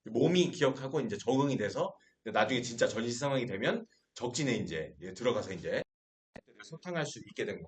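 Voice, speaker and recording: Very wide pitch swings mark this man's voice. He holds a moderate pace. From Seoul, South Korea. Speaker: pastor teaching a Bible class. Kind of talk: lecture. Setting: classroom with live and online audience. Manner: animated.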